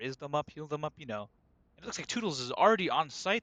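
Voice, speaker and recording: A man's fairly high voice carries a bright, sharp tone and lively intonation, with a dry, close sound that has no echo. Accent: non-native. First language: not English. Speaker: esports caster. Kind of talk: live commentary. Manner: animated.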